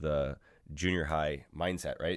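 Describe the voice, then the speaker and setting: A man's voice, captured in a very clean recording against a silent background. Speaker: emergency physician. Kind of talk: lecture.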